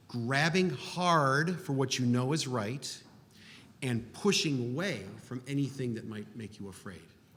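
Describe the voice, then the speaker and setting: Man at medium pitch with lively intonation and a fairly slow pace, plus audible room echo. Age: 60s. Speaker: architect. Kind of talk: panel discussion.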